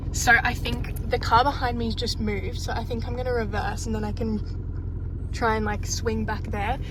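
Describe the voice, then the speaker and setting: A woman with an Australian accent, plus audible room echo and noticeable background noise. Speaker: vlogger and small-business dressmaker. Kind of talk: casual vlog. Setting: in a car. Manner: casual, chatty; whispering.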